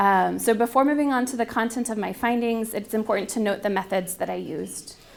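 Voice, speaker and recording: Fairly quick speech from a woman, fairly high in pitch and with ordinary pitch variation. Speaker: theology researcher. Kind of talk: lecture. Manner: halting.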